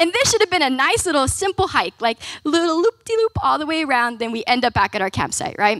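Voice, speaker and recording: The background stays quiet. A woman speaks at a fairly quick pace. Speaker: speaker. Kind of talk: sermon storytelling. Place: hall. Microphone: handheld.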